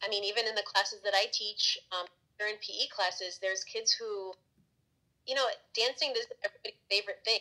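A woman speaks with an American accent at a fairly quick pace. The background is quiet. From Florida, Tampa Bay area; Florida. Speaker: elementary school teacher, former radio journalist. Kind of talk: casual interview. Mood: relaxed, reflective. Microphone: phone near.

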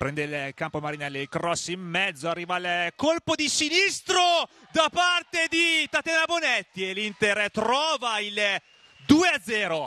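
A man's raised, projected voice, high in pitch, moves very slowly with very wide pitch swings, the sound dry and close with no echo over noticeable background noise. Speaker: match commentator. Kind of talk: live sports commentary. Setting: stadium.

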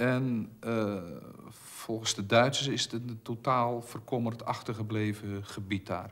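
A man talks at a fairly slow pace with fairly even intonation. His pitch is fairly low and his tone fairly bright.

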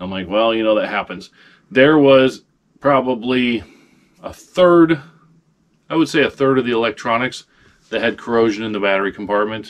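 Long, frequent pauses break up this man's speech. His pace is moderate and his pitch varies in an ordinary way. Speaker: online reseller. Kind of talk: casual vlog chat. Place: home room. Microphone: camera far.

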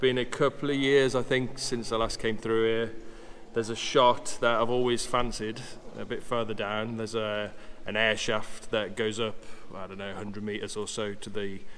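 A man talks at a moderate pace with fairly even intonation, light background noise audible behind him. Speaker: photographer vlogger. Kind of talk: casual vlog chat. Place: tunnel cave. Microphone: phone near.

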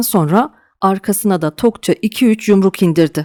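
In a very clean recording with a silent background and a dry, close sound with no echo, a woman talks in a normal speaking voice at medium pitch, with ordinary pitch variation and a moderate pace. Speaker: audiobook narrator. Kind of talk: dramatic audiobook narration with character voices.

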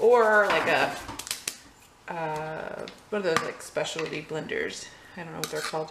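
Noticeable background noise behind a woman's moderately paced speech, her pitch varying normally. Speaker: home cook vlogger. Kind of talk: casual cooking tutorial. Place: kitchen. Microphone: camera far.

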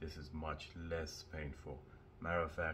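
A man speaks with a very deep, low pitch and vocal fry. Light background noise can be heard. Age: 30s. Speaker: vlogger. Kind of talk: casual vlog. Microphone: phone; phone near.

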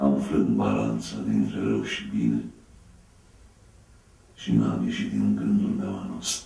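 Amid audible room echo, a man speaks at a very slow pace with long, frequent pauses. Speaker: actor. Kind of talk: poetry reading. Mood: grave, melancholic. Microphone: camera far.

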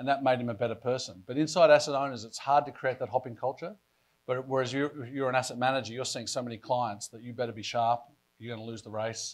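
A man speaks very fast with fairly even intonation and big swings in loudness. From Australia. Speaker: pension fund board chair; panelist. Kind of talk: panel discussion. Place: hall. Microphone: lapel.

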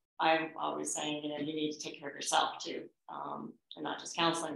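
In audible room echo, a fairly bright tone with vocal fry moves at a fairly quick pace. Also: woman.

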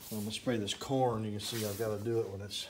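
Fairly quick speech with fairly even intonation and noticeable background noise. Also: man. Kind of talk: casual vlog chat. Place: garage. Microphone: phone near.

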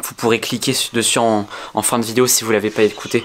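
At a moderate pace, a man speaks against light background noise. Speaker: vlogger. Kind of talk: casual vlog chat, staged suspense. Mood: tense, hushed suspense. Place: home room. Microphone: phone near.

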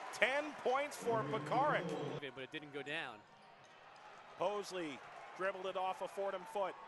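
A man shouts in a high, animated voice, his pitch swinging very widely. Long pauses come often, with noticeable noise behind him. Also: moderate pace. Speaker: basketball play-by-play announcer. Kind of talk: live basketball commentary, highlight reel. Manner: animated, rising to shouts on big shots. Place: stadium. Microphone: headset.

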